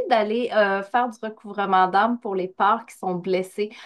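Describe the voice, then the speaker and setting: A woman speaks at a fairly slow pace with a slight Quebec accent. Her delivery is sing-song. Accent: Québécois, slight. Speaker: spiritual coach, medium. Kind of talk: podcast interview. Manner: sing-song intonation.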